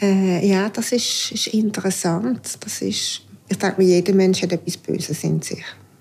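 A woman with a normal speaking voice talks at a fairly slow pace and a medium pitch. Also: fairly even intonation. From Aargau, Switzerland. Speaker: homemaker. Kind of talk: casual interview.

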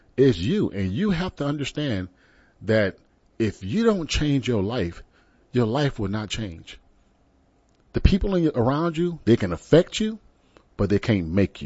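A man with an American accent talks at medium pitch and a fairly slow pace, leaving long, frequent pauses. His tone is animated, with very wide pitch swings. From Texas (San Antonio). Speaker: internet radio talk show host. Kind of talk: talk radio monologue. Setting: studio.

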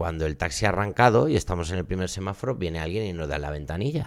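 The speech comes at a very fast pace with lively intonation. The recording is very clean, with a silent background. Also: man. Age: 40s. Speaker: comedian. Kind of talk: casual chat.

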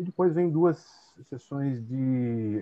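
The man's intonation is lively. He speaks very slowly. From Brazil, São Paulo interior (Tatuí). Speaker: translator and teacher. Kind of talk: casual interview. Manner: halting, many fillers.

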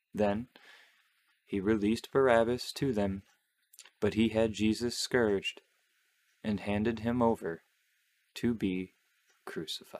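A man speaks at a fairly slow pace with a fairly low pitch and fairly even intonation. His solemn tone is broken by long, frequent pauses. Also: dry, close sound with no echo. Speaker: podcast host. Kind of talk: fervent prayer, reverent devotional reading of the Stations of the Cross. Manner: slow, solemn, reverent; casual, chatty, laughs.

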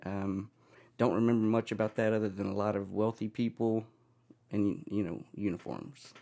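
Speaking at a fairly quick pace, this man has a fairly low pitch and a dark, mellow tone. His intonation is fairly even, and the recording is very clean with a silent background. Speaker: podcast guest. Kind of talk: casual interview.

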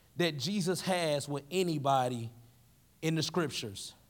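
Speaking fairly slowly with a Southern US accent, a man is captured in a very clean recording against a silent background. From Tennessee. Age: 20s. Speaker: youth pastor. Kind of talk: sermon. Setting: stage with audience.

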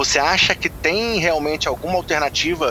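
There is noticeable background noise while a man talks with ordinary pitch variation. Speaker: podcast host. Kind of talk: podcast sports discussion.

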